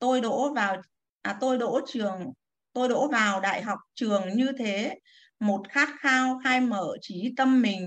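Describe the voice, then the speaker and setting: At a very slow pace, a woman speaks at a fairly high pitch with ordinary pitch variation. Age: 60s. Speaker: retired civil servant, class participant. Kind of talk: reading aloud own poem; casual sharing.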